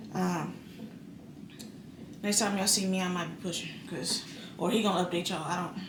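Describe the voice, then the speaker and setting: Fairly quick speech from a woman, amid audible room echo and noticeable background noise. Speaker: vlogger giving birth. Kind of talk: casual vlog to camera. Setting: hospital room. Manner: fast.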